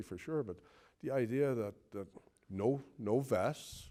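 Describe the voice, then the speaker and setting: A man's dark, mellow voice in a Newfoundland accent, with ordinary pitch variation. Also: very clean recording, silent background. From Newfoundland, Conception Bay South. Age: 60s. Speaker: retired police officer. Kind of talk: interview reminiscence. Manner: halting, many repetitions and fillers.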